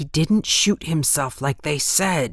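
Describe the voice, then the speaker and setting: Putting on a character voice, a man growls quietly at a fairly high pitch and a fairly slow pace, his tone nervous. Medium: read story. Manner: nervous, hushed.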